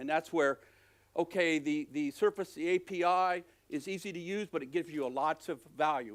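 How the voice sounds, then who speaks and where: At a moderate pace, a man with a fairly high pitch is heard in a very clean recording with a silent background. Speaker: software architect giving conference talk. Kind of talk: conference talk.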